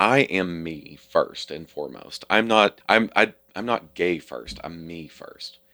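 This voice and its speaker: A man's very deep, low voice in a Kentucky accent, bright and sharp in tone, with ordinary pitch variation. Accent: Southern US (Kentucky). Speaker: Pride leader and former hair industry professional. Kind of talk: casual interview conversation.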